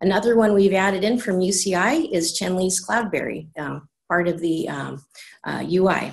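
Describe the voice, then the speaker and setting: A woman's somewhat breathy voice at medium pitch, with ordinary pitch variation and a moderate pace. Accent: American. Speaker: supercomputer center IT director. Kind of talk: conference presentation. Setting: video call.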